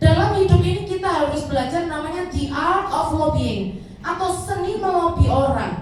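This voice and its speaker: A woman with a strong Javanese accent at a moderate pace, hardly any pauses, noticeable background noise and audible room echo. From Indonesia, Batak family. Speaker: preacher. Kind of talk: sermon. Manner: casual, conversational.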